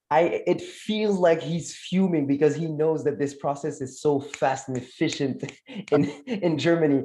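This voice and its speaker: This man has a fairly high voice and a French accent. He talks at a fairly slow pace with fairly even intonation. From France, Moroccan family. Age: 20s. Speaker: communication consultant. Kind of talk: casual chat.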